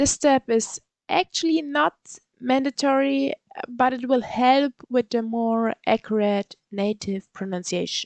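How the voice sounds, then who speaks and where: A woman's high-pitched voice with a German accent, very slow and lively in intonation, dry and close with no echo. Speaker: language learning YouTuber. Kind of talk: tutorial. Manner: halting.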